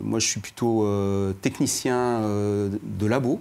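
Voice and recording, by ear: The pace is fairly slow, with fairly even intonation. The tone is slightly mellow and carries vocal fry. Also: man, fairly low pitch for a man.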